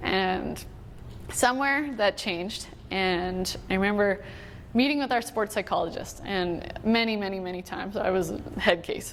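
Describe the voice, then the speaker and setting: With a Canadian prairie accent, a woman speaks at a medium pitch and a moderate pace, her pitch varying in an ordinary way. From Manitoba, Canada. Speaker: Olympic hockey player. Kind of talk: motivational talk.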